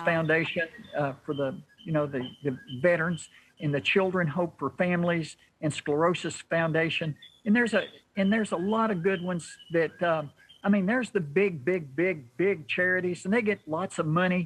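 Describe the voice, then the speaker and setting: A man with a Southern US accent, high-pitched with ordinary pitch variation, at a moderate pace. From Kentucky, USA. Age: 70s. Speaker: ultra long distance runner. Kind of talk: interview answer. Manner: folksy, rambling.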